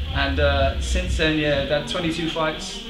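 Clear music plays in the background while a man talks at a fairly slow pace. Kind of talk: interview answer. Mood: relaxed, proud, laughing. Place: gym. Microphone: camera far.

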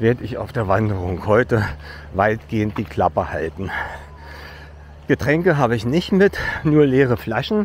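A man talks at a fairly slow pace, leaving long, frequent pauses, and his pitch swings very widely. Light background noise is present, and the sound is dry with no echo. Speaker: hiker vlogger. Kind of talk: casual vlog chat. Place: street. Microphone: phone near.

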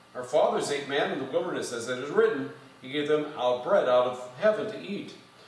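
A man talks at a moderate pace, with audible echo from the room. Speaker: pastor. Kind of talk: scripture reading. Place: church. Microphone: podium.

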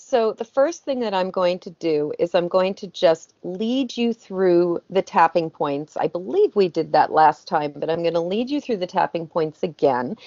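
Against a quiet background, a woman talks at a moderate pace with hardly any pauses. The sound is dry, with no echo. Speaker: guest. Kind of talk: interview answer. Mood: calm, explanatory. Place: home room. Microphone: video call.

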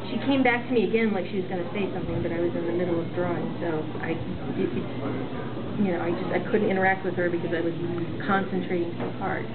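Over loud background noise, a woman speaks very fast. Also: ordinary pitch variation. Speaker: vlogger. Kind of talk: casual vlog chat. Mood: warm, animated. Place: hall. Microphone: webcam.

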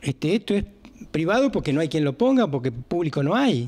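A fairly high-pitched male voice. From Argentina. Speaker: emergency service owner. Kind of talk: interview. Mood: frustrated, explaining. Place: office.

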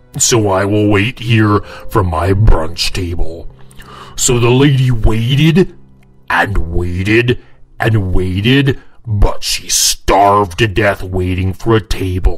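In a cartoonish character voice, a man speaks at a fairly slow pace with a fairly low pitch. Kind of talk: comic story narration to camera. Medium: puppet. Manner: jokey, casual.

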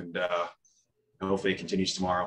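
A man speaks with a very deep, low pitch. Light background noise can be heard. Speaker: head coach. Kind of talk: interview answer. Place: meeting room. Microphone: video call.

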